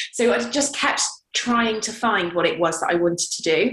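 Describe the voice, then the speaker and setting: A woman speaks with a British accent at a moderate pace. Her pitch varies in an ordinary way. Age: 20s. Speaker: model and campaigner. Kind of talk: interview.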